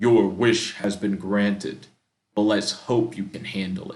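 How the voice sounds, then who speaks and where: In a put-on character voice, a man booms at a fairly low pitch and a fairly slow pace. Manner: ominous, commanding.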